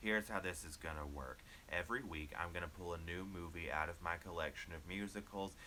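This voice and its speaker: The man's tone is bright and sharp. He delivers his words in a deadpan way. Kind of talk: casual talk to camera. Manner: deadpan, low-energy.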